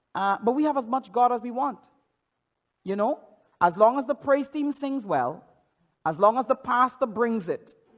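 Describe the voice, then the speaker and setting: A man with a Caribbean accent and an extremely high voice speaks in an animated tone at a moderate pace, with long, frequent pauses. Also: ordinary pitch variation. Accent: Caribbean accent, often taken for Jamaican. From Trinidad. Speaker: pastor. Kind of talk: sermon. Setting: church. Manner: repeats words, stammering restarts.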